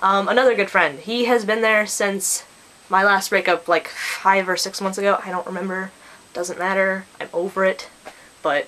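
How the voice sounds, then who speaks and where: Here a woman talks with an American accent. Noticeable background noise is present. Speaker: vlogger. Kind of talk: casual vlog.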